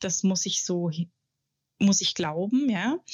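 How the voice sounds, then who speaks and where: A woman at medium pitch with ordinary pitch variation has a plain, everyday voice. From Germany, Munich. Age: 40s. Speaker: journalist and author. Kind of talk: interview.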